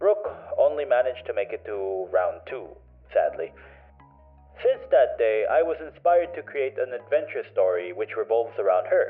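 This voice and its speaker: There is music in the background. A man speaks at a moderate pace. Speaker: digital artist. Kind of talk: casual voiceover commentary.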